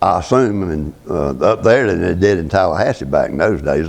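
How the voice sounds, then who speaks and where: A man with a Southern US accent and a very deep, low pitch talks at a fairly quick pace with lively intonation. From US South, north Florida (Gadsden County). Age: 80s+. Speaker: retired farmer. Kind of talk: oral history interview. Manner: halting.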